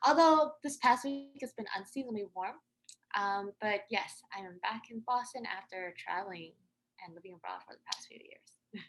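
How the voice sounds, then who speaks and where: A woman with an American accent uses a normal speaking voice at a fairly high pitch and a moderate pace. Her intonation is lively, with big swings in loudness. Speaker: podcaster and poet. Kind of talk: interview.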